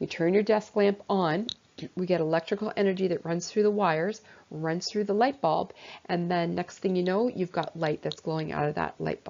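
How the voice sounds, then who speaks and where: This woman's voice sits fairly low, with ordinary pitch variation. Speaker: science teacher. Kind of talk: lecture. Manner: fast.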